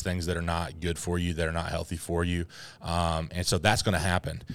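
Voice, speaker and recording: A man's very deep, low voice is captured in a very clean recording with a silent background. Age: 30s. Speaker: youth pastor podcast host. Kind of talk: casual chat.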